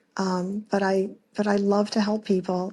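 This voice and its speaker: Speaking at a very slow pace, a woman has a somewhat breathy voice at medium pitch. Her intonation is monotone and flat. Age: 60s. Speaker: caller. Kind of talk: recorded voicemail question. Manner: halting, many fillers.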